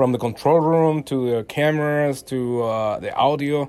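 A man with a Mexican accent speaks at a fairly high pitch. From Mexico. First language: Spanish. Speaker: photojournalist. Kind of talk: casual interview.

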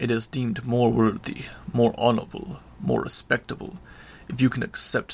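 The voice is heard reading aloud. The reading is plain.

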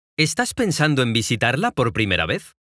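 With a bright, sharp tone and some vocal fry, a fairly high-pitched man speaks at a moderate pace on a very clean recording with a silent background. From Mexico, Guadalajara. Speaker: travel storyteller. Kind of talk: scripted narration.

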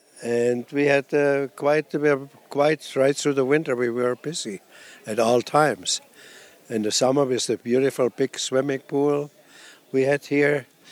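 A man with a German accent speaks at a fairly slow pace and fairly even intonation, the sound dry and close with no echo. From Germany. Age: 80s. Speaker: retired nudist resort owner. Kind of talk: interview.

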